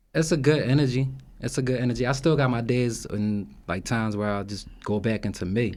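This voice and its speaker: Fairly quick speech from a man at a medium pitch with ordinary pitch variation. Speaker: personal trainer and gym owner. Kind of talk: casual chat. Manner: soft-spoken.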